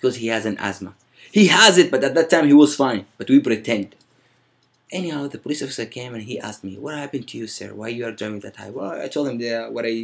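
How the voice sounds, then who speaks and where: At a very fast pace, a man speaks in a medium pitch with ordinary pitch variation. His volume has big swings in loudness. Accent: Arabic. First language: Arabic. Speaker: vlogger. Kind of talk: storytelling. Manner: casual.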